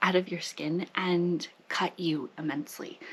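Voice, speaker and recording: Background noise can be clearly heard. Through it comes a woman's voice. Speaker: lifestyle vlogger. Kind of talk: personal vlog monologue. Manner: casual, conversational.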